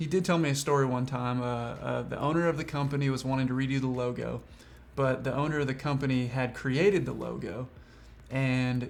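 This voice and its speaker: With a slight Southern US accent, a man talks in a fairly even intonation. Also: medium pitch for a man. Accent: slight Southern drawl. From Washington state, USA. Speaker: freelance filmmaker.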